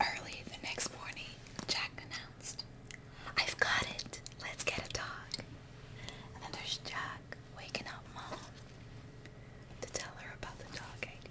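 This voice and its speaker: Whispering at a fairly slow pace with long, frequent pauses, the voice sits over noticeable background noise. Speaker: ASMR creator. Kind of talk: bedtime story reading.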